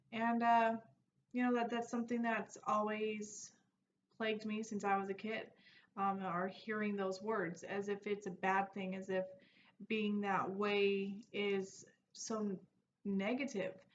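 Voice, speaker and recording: A woman speaks at a medium pitch and a fairly slow pace, her intonation monotone and flat, with long, frequent pauses. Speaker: personal development vlogger. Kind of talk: casual vlog monologue. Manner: loud.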